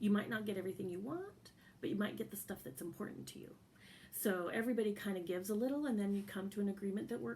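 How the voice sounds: The clip features a natural reading voice. That voice does the reading.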